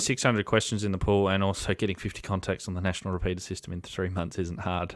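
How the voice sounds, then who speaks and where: With an Australian accent, a man with a very deep, low pitch talks at a very fast pace in monotone, flat intonation, on a very clean recording with a silent background. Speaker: amateur radio operator. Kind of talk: casual conversation.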